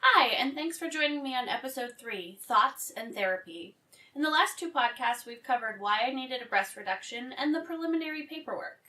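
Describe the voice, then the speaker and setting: Speaking in a raised, projected voice, a woman with a high pitch moves at a fairly quick pace with lively intonation and big swings in loudness. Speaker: podcast host. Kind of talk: personal podcast monologue.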